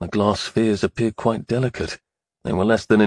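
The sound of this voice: Quiet surroundings behind an unforced reading voice.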